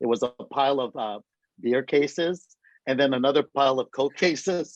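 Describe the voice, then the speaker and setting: An ordinary speaking voice from a man, fairly high in pitch, at a fairly quick pace with fairly even intonation and a dry, close sound with no echo. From San Francisco, US (immigrated from Greece at seven). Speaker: small business advocate. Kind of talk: interview.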